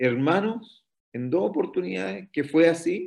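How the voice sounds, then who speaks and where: In a Chilean accent, a man speaks at a fairly slow pace. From northern Chile, Antofagasta. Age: 50s. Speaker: pastor. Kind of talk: interview testimony.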